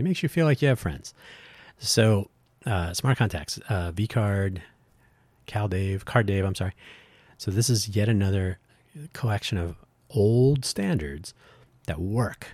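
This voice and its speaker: Over a very clean recording with a silent background, a man with fairly low pitch and a somewhat breathy voice speaks with lively intonation and long, frequent pauses. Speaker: podcast host, tech project organizer. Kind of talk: solo podcast monologue. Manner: halting, with fillers.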